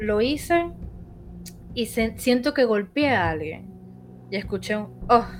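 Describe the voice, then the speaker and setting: A woman talks at a fairly high pitch with a Venezuelan accent and lively intonation. Her pace is fairly slow, with long, frequent pauses. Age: 30s. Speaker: podcast host. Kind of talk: personal storytelling.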